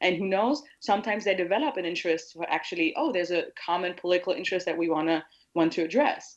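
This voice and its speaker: A woman in a German accent talks at a very fast pace, at medium pitch with lively intonation. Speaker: anti-hate activist. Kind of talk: casual interview. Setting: remote call across an ocean.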